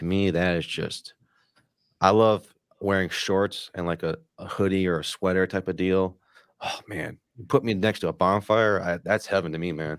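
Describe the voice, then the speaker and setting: With an American accent, a man speaks at a moderate pace in a very deep, low voice and fairly even intonation. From Michigan. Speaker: podcast host. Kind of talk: casual chat. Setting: live streamed podcast.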